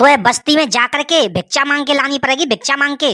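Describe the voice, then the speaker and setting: A woman's cartoonish character voice, high-pitched and fairly quick, in a dry, close sound with no echo. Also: ordinary pitch variation, very even loudness. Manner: pompous, scolding.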